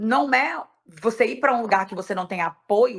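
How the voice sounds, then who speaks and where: Speaking at a moderate pace with lively intonation, a woman has an ordinary speaking voice. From Brazil. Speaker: event promoter and decorator. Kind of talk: podcast interview.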